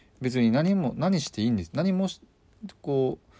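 A man speaks at a moderate pace with very wide pitch swings and a dark, mellow tone. The recording is very clean, with a silent background. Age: 30s. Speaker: hairdresser and podcast host. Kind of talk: solo monologue podcast. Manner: casual, many fillers and hesitations.

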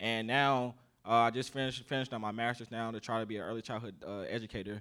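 Speaking very fast in an American accent, a man with a medium pitch, bright, sharp tone and fairly even intonation is heard in a very clean recording with a silent background. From US South, South Carolina. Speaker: army sergeant, military police investigator. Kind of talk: casual panel interview. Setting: live event with audience.

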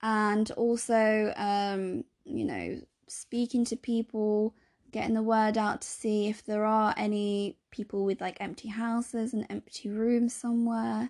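A woman speaks in a monotone with flat intonation. The recording is very clean and silent behind her, dry and close with no echo. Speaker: podcast host and healthcare worker. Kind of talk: solo podcast monologue. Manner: casual, frequent fillers.

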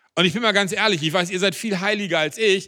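High-pitched and bright with a sharp tone, a man uses a raised, projected voice. His tone is animated, with ordinary pitch variation. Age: 50s. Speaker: pastor. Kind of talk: sermon.

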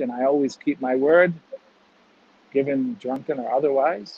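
A man with a Chicago accent at a fairly quick pace. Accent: Chicago American English. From US Midwest, Chicago. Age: 50s. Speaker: recruitment entrepreneur. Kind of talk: interview conversation.

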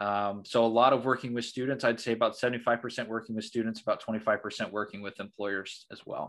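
With a Midwestern American accent, a man speaks at a medium pitch and moderate pace in a monotone, flat intonation, with big swings in loudness, hardly any pauses, and a quiet background. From southern Indiana. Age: 20s. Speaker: career consultant. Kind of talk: interview.

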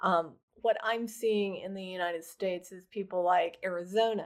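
Against a silent background on a very clean recording, a woman with an American accent and a normal speaking voice talks fairly slowly at a medium pitch, with fairly even intonation. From rural Oklahoma. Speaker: adoption and surrogacy attorney. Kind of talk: casual interview chat.

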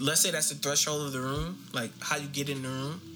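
Noticeable background noise and audible room echo surround a man's voice. He has a medium pitch and talks at a moderate pace. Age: 30s. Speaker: podcast co-host. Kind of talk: casual chat.

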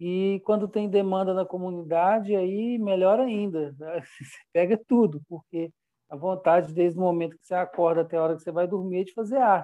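A man speaks with a dark, mellow tone at a high pitch, his intonation fairly even against a quiet background. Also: moderate pace, big swings in loudness. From Brazil, Minas Gerais (Belo Horizonte). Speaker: visual artist. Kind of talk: interview. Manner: halting.

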